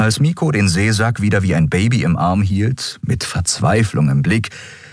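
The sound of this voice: This clip features an unforced reading voice.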